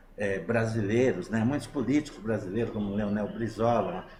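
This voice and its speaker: A medium-pitched male voice with audible room echo. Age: 60s. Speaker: interviewee on online talk show. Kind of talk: political opinion in online talk show. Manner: halting with many fillers.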